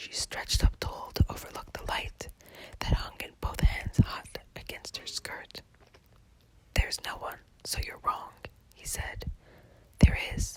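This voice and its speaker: Whispering at a fairly slow pace with long, frequent pauses, the speech comes through noticeable background noise. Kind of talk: ASMR whisper poetry reading; narrated poem with dramatic dialogue. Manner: whispered.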